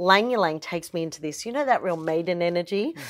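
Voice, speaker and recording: Her tone is animated, and she speaks with an Australian accent. The woman's pitch is fairly low. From Australia, Melbourne. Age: 40s. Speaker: aromatherapist. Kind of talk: casual interview.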